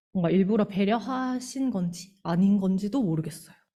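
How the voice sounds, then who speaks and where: Somewhat breathy, a woman speaks in a Gyeongsang accent at a fairly slow pace. Her medium pitch has a dark, mellow tone and lively intonation. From Gyeongsang region, Korea. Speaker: church member, teacher. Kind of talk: lay testimony at church service. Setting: church.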